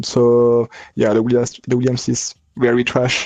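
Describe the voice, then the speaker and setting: A man's medium-pitched voice with a French accent, at a fairly slow pace. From France. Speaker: sim racing driver. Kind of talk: post-race interview. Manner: halting.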